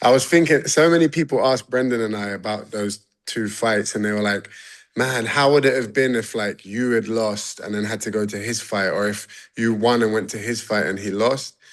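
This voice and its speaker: A man speaks in a London accent at a medium pitch and a moderate pace. His pitch varies in an ordinary way. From London, England. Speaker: MMA fighter. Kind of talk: casual interview. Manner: animated.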